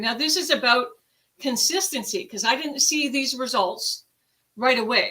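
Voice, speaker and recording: A woman speaks in a raised, projected voice at a high pitch. Her tone is animated. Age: 60s. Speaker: product user sharing results. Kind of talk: testimony.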